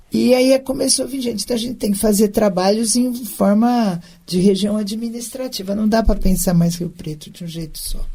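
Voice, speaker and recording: A woman speaks at a moderate pace with hardly any pauses, her fairly high voice dark, mellow and somewhat breathy. Her loudness swings widely. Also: ordinary pitch variation. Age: 60s. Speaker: former city councillor and municipal secretary. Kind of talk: interview.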